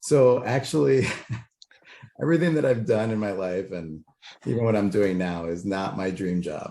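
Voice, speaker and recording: Speaking at a moderate pace with long, frequent pauses, a man with an American accent uses a fairly low pitch and a dark, mellow tone. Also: lively intonation. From Chicago, Illinois. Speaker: political candidate, Marine veteran. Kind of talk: interview. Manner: loud and boisterous.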